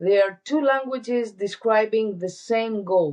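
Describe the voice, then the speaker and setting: Her intonation lively, a woman speaks very slowly. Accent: Greek. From Greece. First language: Greek. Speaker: wellness entrepreneur. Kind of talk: interview.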